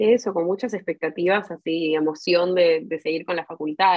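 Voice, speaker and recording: At a fairly quick pace, a woman talks in an unremarkable speaking voice, her pitch fairly low with ordinary variation. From Argentina, Buenos Aires. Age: 20s. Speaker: university student and language school worker. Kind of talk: interview.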